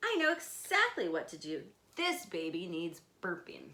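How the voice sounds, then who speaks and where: A woman puts on a character voice and talks at a moderate pace. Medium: read story. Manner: calm, sure.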